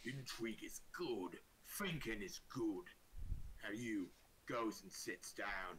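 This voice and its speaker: Over clear background noise, a man in a put-on character voice talks at a fairly slow pace with a medium pitch and long, frequent pauses. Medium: actual play. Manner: slow, self-assured.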